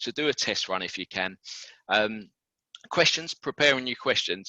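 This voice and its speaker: Against a quiet background, a man with a British accent speaks in a bright, sharp tone with lively intonation. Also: medium pitch for a man, dry, close sound with no echo. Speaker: recruitment consultant. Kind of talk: webinar presentation. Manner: fast.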